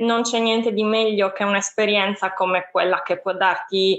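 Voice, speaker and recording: The intonation is monotone and flat. It comes at a moderate speed. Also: woman. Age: 20s. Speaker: youth mobility association worker. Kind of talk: interview.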